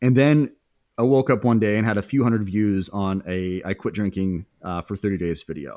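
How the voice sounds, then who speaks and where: With an American accent, a man uses an ordinary speaking voice, fairly low in pitch with ordinary pitch variation, at a moderate pace. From Indiana, US Midwest. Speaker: YouTuber and former stand-up comedian. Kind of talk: casual interview chat.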